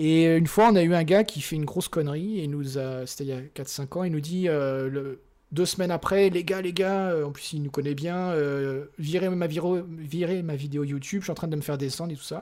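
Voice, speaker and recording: On a very clean recording with a silent background, a man speaks at a moderate pace in a dark, mellow tone. His pitch is fairly high, and his intonation is fairly even. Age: 40s. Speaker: software engineer and operations director. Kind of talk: casual interview.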